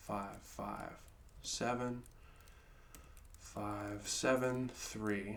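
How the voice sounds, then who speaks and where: Heard with audible room echo, a man speaks at a medium pitch with fairly even intonation. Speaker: guitar teacher. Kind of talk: tutorial.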